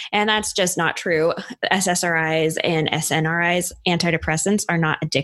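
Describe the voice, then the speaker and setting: A woman with an ordinary speaking voice, fairly low pitch and fairly even intonation comes through with a dry, close sound with no echo. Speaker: podcast host. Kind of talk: casual chat about mental health.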